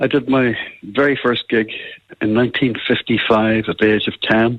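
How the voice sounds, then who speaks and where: This man talks at a moderate pace with a Northern Irish accent. His pitch sits in the medium range. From Northern Ireland, Belfast. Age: 80s+. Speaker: musician. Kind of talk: radio interview.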